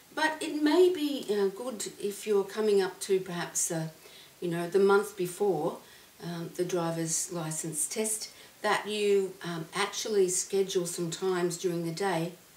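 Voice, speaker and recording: A woman talks fairly slowly while background noise comes through noticeably. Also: medium pitch for a woman, ordinary pitch variation. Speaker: clinical psychologist and hypnotherapist. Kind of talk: casual talk to camera.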